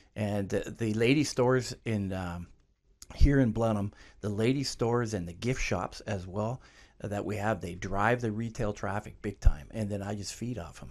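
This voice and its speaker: A man with a Canadian accent uses a normal speaking voice at a moderate pace, with a fairly low pitch and ordinary pitch variation. His loudness swings widely, on a very clean recording with a silent background. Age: 60s. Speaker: clothing store owner. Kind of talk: interview.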